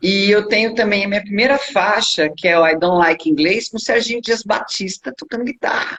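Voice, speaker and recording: A woman talks at a fairly quick pace with hardly any pauses. Her pitch is medium, with ordinary variation. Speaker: rock singer. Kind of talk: interview.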